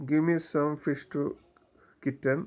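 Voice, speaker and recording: On a very clean recording with a silent background, the speaker has a strong non-native accent. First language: Malayalam. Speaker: YouTuber commentator. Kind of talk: monologue commentary. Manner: halting, many fillers.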